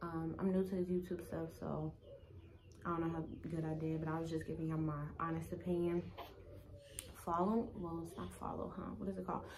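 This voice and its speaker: A woman at fairly low pitch and a fairly quick pace, with long, frequent pauses, audible room echo and noticeable background noise. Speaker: wig reviewer and vlogger. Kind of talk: casual product review vlog. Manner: monotone; rushed.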